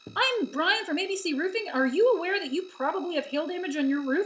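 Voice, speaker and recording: Through clear background noise, a woman in a put-on character voice races along at a very fast pace, her extremely high pitch carried by lively intonation. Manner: pushy, scripted sales pitch.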